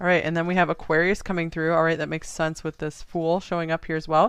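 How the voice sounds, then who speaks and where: The voice moves at a very fast pace. The background is quiet. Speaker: tarot reader. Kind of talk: tarot reading. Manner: casual with many fillers; getting louder.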